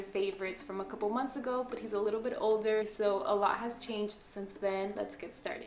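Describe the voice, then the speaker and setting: Speaking fairly quickly with a Spanish accent, a woman uses a fairly high pitch and fairly even intonation, with audible room echo and noticeable background noise. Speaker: parenting vlogger. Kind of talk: casual product review video.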